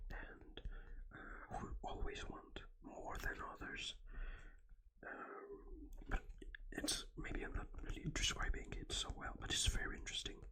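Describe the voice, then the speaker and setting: Someone whispers with long, frequent pauses. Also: fairly slow pace. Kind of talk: ASMR book and game review, whispered talk to camera. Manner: hesitant with frequent filler words, explanatory.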